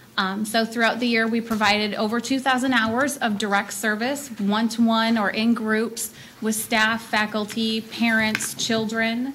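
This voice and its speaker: A woman talks with hardly any pauses in a fairly high pitch and monotone, flat intonation over noticeable background noise. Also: moderate pace. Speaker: children's services presenter. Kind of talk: presentation at board meeting. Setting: public board meeting. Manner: loud.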